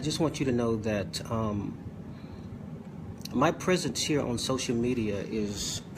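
Noticeable background noise sits under the recording. A man talks at a moderate pace. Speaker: preacher. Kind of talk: sermon. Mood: earnest, occasionally joking. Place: home room. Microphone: phone near.

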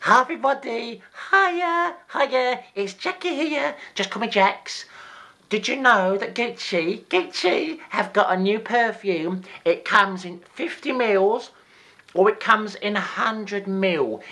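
A put-on character voice that sounds female is pitched fairly high. It moves at a fairly slow pace. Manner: upbeat.

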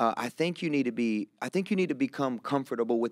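A man's medium-pitched voice with a rural Kentucky accent, very wide pitch swings and a fairly quick pace over a quiet background. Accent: rural Southern US (Kentucky). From Kentucky, US South. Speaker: pastor. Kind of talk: casual conversational interview. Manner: animated. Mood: earnest, reflective. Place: studio. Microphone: studio mic.

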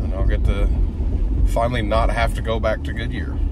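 Noticeable background noise beneath a man's dry voice, free of any echo. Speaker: vlogger driving to work. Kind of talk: casual vlog chat. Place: car. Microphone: phone near.

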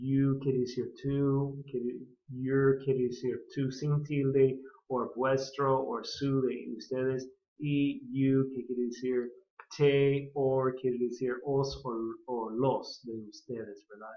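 Speaking at a very slow pace, a man delivers his words in a monotone, flat intonation at a medium pitch. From California. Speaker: English teacher and pastor. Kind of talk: lecture.

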